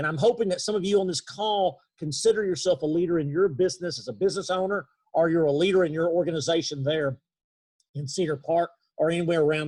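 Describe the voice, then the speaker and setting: Talking at a very fast pace with an East Texas accent, a man uses a fairly high pitch and ordinary pitch variation. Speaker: leadership trainer. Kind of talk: webinar talk. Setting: video call. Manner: halting.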